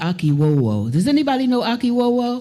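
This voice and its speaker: A woman speaks with a dark, mellow tone. Her pitch moves in very wide swings. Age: 80s+. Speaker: music leader. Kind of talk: casual chat.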